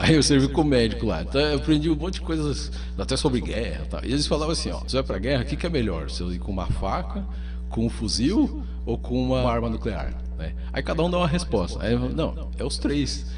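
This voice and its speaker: Fairly quick, monotone speech from a man with a very deep, low pitch, flat intonation, audible room echo and music in the background. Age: 40s. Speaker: psychiatrist. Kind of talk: radio interview.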